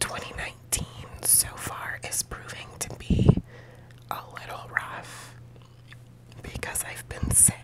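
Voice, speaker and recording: A woman whispers at a very slow pace, with long, frequent pauses. Noticeable background noise runs underneath. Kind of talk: ASMR whispering life update to camera. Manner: whispered, soft-spoken.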